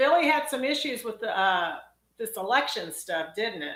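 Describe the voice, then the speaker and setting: In a room with audible echo, a woman with a Texas accent speaks in a fairly high pitch with a bright, sharp tone. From Texas, College Station. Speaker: dentist. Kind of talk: live Q&A stream. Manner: casual, chatty.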